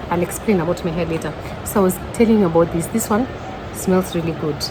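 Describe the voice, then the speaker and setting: A woman's medium-pitched voice with ordinary pitch variation, very fast but broken by long, frequent pauses, with music in the background and audible room echo. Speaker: vlogger. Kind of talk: casual vlog. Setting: restaurant. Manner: loud.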